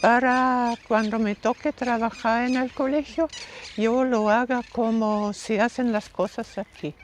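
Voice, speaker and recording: A woman with a German accent speaks at a high pitch. Her pace is very slow. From Austria. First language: German (speaking Spanish). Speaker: missionary nun, former teacher. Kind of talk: interview.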